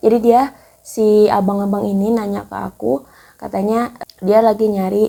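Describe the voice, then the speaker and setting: With a dark, mellow tone, a woman talks at a medium pitch. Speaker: YouTuber, personal finance tips. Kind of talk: casual vlog talk. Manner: casual, with hesitations.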